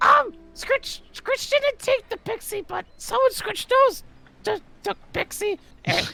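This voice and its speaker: In a put-on character voice, the speaker squeaks at an extremely high pitch and moves at a fairly slow pace. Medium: actual play. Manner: broken speech, refers to self in third person.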